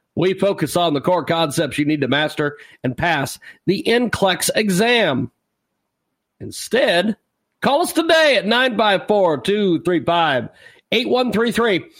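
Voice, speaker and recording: A man's high voice with very wide pitch swings, very slow pace and very even loudness, on a very clean recording with a silent background. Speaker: radio host. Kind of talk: live radio interview and broadcast promo.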